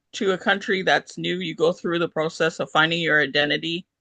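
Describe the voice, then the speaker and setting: The woman's tone is bright and sharp, with vocal fry, at a moderate pace. The sound is dry and close with no echo, over a quiet background. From Canada. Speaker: author. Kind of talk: interview. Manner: hesitant, many fillers.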